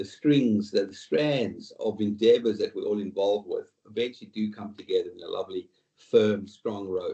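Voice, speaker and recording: A man is speaking in an Australian accent. He keeps a moderate pace. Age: 60s. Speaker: retail executive and board director. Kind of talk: interview podcast. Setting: video call. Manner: halting.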